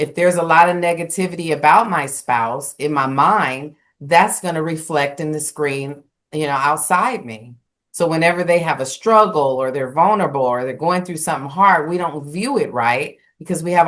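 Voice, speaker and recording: Against a quiet background, a woman with a very deep, low pitch speaks at a moderate pace with ordinary pitch variation. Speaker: spiritual talk show co-host. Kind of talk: casual conversation. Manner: loud.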